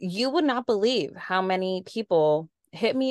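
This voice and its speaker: In an American accent, a woman speaks at a moderate pace with an ordinary speaking voice at medium pitch, the sound dry and close with no echo against a quiet background. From San Diego, California. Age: 30s. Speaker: podcast co-host. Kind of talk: casual chat.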